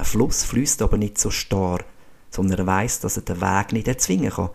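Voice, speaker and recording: A man with a Swiss accent, fairly low in pitch, dark and mellow in tone, with fairly even intonation. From Switzerland, canton Schwyz. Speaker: podcast host, physiotherapist and former ski racer. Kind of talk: scripted monologue.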